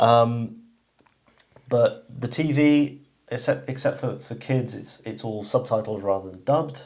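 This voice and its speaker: A somewhat breathy man's voice at a medium pitch, fairly slow, with ordinary pitch variation and big swings in loudness. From England. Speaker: channel host, shooting enthusiast. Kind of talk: casual chat.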